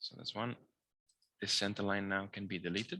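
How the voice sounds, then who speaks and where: The tone is bright and sharp, and the speech moves at a fairly quick pace. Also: man. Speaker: engineering drawing lecturer. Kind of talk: tutorial. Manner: fast.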